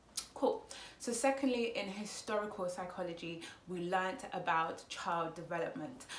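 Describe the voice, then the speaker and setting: With a Congolese accent, a woman speaks at a moderate pace and medium pitch, her pitch variation ordinary, amid noticeable background noise and audible room echo. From Congo, raised speaking Lingala and French, schooled in English. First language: Lingala. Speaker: psychology student and vlogger. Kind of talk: casual explanatory vlog. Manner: hesitant, many fillers.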